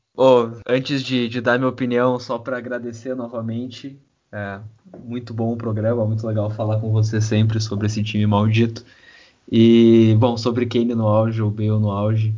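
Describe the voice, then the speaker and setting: Amid audible room echo, a man speaks at a medium pitch with monotone, flat intonation. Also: moderate pace. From southern Brazil, Rio Grande do Sul. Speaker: football fan podcast guest. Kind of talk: casual chat.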